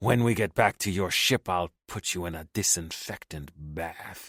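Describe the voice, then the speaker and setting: A man's put-on character voice, very deep and low, growling and hissing with a menacing tone, on a very clean recording with a silent background. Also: moderate pace. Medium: read story. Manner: hissing, snarling, menacing.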